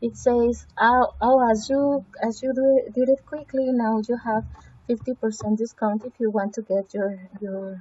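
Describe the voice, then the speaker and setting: A woman at a fairly high pitch with fairly even intonation and a fairly slow pace. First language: Spanish. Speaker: language education student. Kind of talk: screencast evaluation walkthrough. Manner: halting, with fillers and repetitions.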